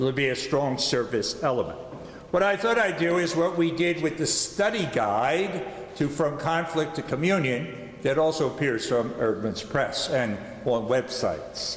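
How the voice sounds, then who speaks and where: Over noticeable background noise and audible room echo, a man with a Philadelphia accent talks at a moderate pace and a fairly high pitch, his intonation lively and his loudness very even. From US Northeast, Philadelphia. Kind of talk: lecture.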